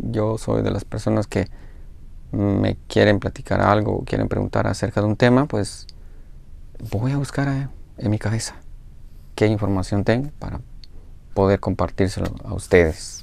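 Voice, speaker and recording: Moderately paced speech from a man with long, frequent pauses and a dry sound with no echo. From Guatemala. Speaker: video blogger. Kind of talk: casual monologue to viewers. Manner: hesitant, thinking aloud. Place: home room. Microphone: lapel.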